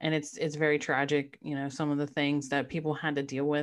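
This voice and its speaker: A very deep, low-pitched woman's voice at a fairly quick pace, in a very clean recording with a silent background. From Maryland. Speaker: guest podcast co-host. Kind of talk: interview. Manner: enthusiastic.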